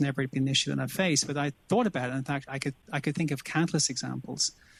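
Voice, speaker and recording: Here is a man with an Irish accent and a fairly high pitch. He talks at a very fast pace. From Ireland, Dublin. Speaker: business executive, panelist. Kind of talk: panel discussion. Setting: virtual session.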